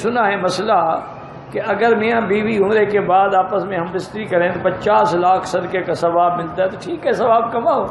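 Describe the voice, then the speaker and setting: Noticeable background noise sits behind a high-pitched man speaking with fairly even intonation. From Pakistan. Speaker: Islamic scholar giving a lecture to Urdu-speaking pilgrims. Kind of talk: humorous religious lecture with anecdotes and Q&A answers. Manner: jokey, teasing, conversational.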